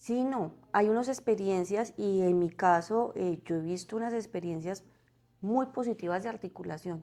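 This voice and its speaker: Her tone dark and mellow, a woman talks at a fairly slow pace with a medium pitch and ordinary pitch variation. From Colombia, Santander. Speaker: corporate community relations director. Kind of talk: podcast interview. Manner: hesitant, with fillers and repetitions.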